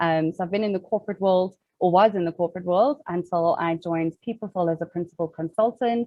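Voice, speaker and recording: A woman speaks very fast with hardly any pauses, her fairly low voice showing ordinary pitch variation. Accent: South African. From South Africa, Cape Town. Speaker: organizational psychologist. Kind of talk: webinar interview.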